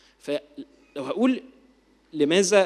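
A man speaks. His intonation is lively. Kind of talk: lecture.

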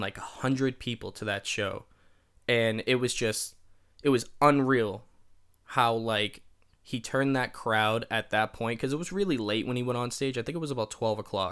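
Using a normal speaking voice, a man talks at a medium pitch and a moderate pace with ordinary pitch variation. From Massachusetts. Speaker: musician and podcast host. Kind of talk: casual solo storytelling podcast. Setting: home recording with microphone.

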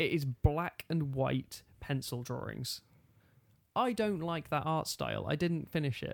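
A man speaks in a plain, everyday voice, fairly high in pitch with ordinary pitch variation. His pace is fairly slow, and the recording is very clean with a silent background. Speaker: podcast host. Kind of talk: casual banter chat. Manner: joking, teasing.

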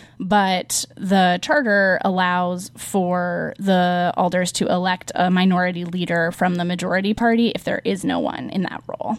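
Speaking in a plain, everyday voice at a moderate pace, the speaker keeps a fairly even intonation in a very clean recording with a silent background. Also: woman. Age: 20s. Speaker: city council member. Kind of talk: interview. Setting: studio.

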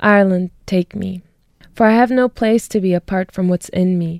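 A woman speaks at a moderate pace in a medium pitch, her tone dark and mellow with fairly even intonation. The recording is very clean and dry, close-miked with no echo and a silent background. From Germany, Munich. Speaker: poet and sociology PhD student. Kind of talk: interview; poetry reading.

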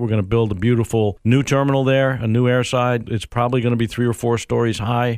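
This man has an ordinary speaking voice and an American accent, pitched in the medium range. His intonation is fairly even and his pace fairly quick. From New York State. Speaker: airport executive. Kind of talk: interview.

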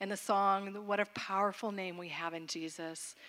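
This is a woman speaking. Her pitch sits at medium. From Florida. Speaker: minister's wife. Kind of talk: church greeting. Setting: church service.

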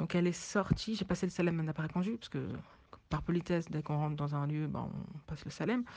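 Against a quiet background, a woman speaks very fast in a somewhat breathy, dark, mellow voice with a fairly low pitch and ordinary pitch variation. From French of Senegalese descent. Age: 20s. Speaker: interviewee. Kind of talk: testimony.

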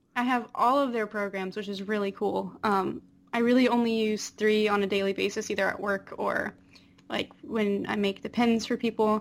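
A woman with an American accent and an unremarkable speaking voice speaks at a moderate pace with a fairly high pitch and fairly even intonation, recorded very cleanly with a silent background. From North Carolina, near Raleigh. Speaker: cosplayer and graphic designer. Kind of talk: casual chat.

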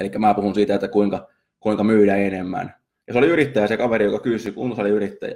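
A man speaks very fast in a fairly low, dark and mellow voice. His intonation stays fairly even. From Finland. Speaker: marketing podcaster and copywriter. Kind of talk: casual solo podcast monologue. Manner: halting, many fillers and repetitions.

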